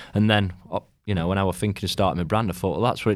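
In a South Yorkshire accent, the speaker talks with fairly even intonation on a very clean recording with a silent background. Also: man. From South Yorkshire, England (Rotherham). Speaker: clothing brand founder. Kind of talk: casual interview chat. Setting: studio.

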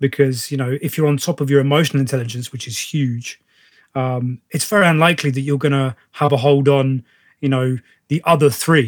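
Delivered with a British accent at a fairly quick pace and fairly even intonation, the speech has a dry, close sound with no echo on a very clean recording with a silent background. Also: man, fairly high pitch for a man. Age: 30s. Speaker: podcast host, actor and personal trainer. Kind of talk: casual interview chat.

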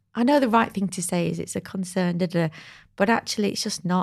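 Somewhat breathy, a woman speaks at medium pitch. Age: 40s. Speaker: market research agency founder. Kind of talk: casual chat.

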